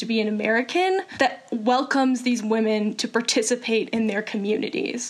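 Noticeable background noise runs under a woman's fairly high voice. She talks at a moderate pace with ordinary pitch variation. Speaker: nonprofit founder. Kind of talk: interview.

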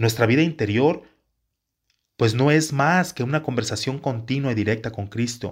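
In a very clean recording with a silent background, a somewhat breathy man talks at a moderate pace and medium pitch with ordinary pitch variation. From Mexico, Jalisco. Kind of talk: religious teaching talk. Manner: halting, with repetitions.

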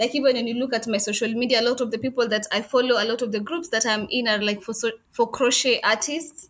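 Speaking with a Kenyan accent, a woman talks at a very fast pace in a fairly high pitch with fairly even intonation. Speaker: crochet business owner. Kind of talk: interview conversation.

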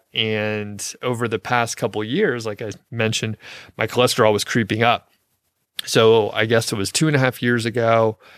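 A man with a plain, everyday voice speaks at a moderate pace and medium pitch, recorded dry and close with no echo, very clean against a silent background. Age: 40s. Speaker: podcast host on niche websites. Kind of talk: casual solo podcast monologue. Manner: relaxed, conversational with fillers.

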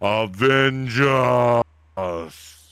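A man speaks loudly in a put-on character voice. His pitch is medium. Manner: echoing, layered, loud.

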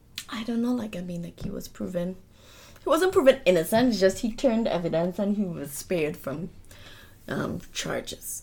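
Lively intonation and big swings in loudness mark this voice at a moderate pace. Noticeable background noise sits behind it. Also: woman, medium pitch for a woman. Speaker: true crime podcast co-host. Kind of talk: casual chat; case narration.

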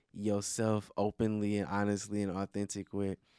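This man's voice is fairly low and moves at a moderate pace. The recording is very clean with a silent background and a dry, close sound with no echo. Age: 30s. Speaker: podcast host. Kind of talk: casual chat. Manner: loud.

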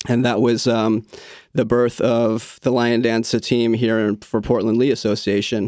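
A man with monotone, flat intonation at a moderate pace, on a very clean recording with a silent background. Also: medium pitch for a man, very even loudness. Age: 40s. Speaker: lion dance coach. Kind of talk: interview.

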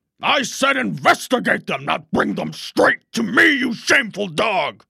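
Putting on a raspy character voice, a man speaks at a high pitch and a moderate pace. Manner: domineering, scolding.

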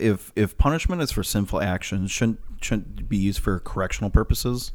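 The recording is very clean, with a silent background. A man speaks fairly slowly with an American accent and ordinary pitch variation. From Minnesota. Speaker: podcast producer. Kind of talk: casual discussion, asking questions.

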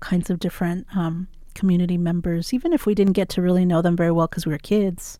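A woman speaks at a medium pitch with an American accent, her tone dark and mellow. Her intonation is monotone and flat, on a very clean recording with a silent background. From Tucson, Arizona. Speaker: writer and flamenco dancer. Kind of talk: interview storytelling. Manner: casual, hesitant fillers.

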